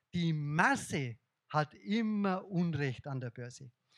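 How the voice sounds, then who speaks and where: Speaking at a very slow pace with lively intonation and a slight Bavarian accent, the man is heard on a very clean recording with a silent background and a dry, close sound with no echo. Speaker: investor and speaker. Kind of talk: lecture. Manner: animated.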